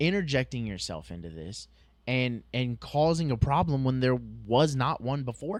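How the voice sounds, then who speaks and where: A man speaks at a moderate pace with a medium pitch. His voice has very wide pitch swings and big swings in loudness. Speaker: police officer, podcast co-host. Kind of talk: casual chat. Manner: halting.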